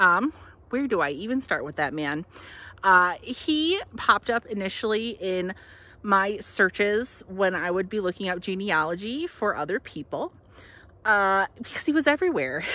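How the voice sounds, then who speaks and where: A woman talks at a moderate pace with very wide pitch swings. The sound is dry, without echo. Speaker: local history guide. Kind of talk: casual tour commentary. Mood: cheerful, animated. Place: open country. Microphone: phone near.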